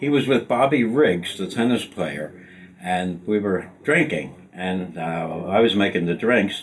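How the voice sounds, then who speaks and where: In a Philadelphia accent, a man speaks at a fairly slow pace with lively intonation. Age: 80s+. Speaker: retired sports executive. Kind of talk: storytelling interview. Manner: animated.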